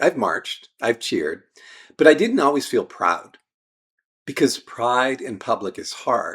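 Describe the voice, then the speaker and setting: The recording is very clean, its background silent. A man talks fairly slowly on it. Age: 60s. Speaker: midlife men's coach. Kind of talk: personal reflection to camera.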